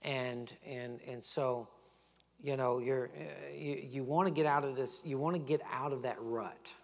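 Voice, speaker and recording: A man at a fairly slow pace with fairly even intonation, over light background noise. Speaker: pastor. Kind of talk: sermon. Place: church. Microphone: lapel.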